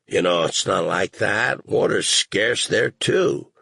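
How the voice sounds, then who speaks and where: A man's raspy, put-on character voice. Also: fairly slow pace. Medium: read story. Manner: conciliatory, earnest.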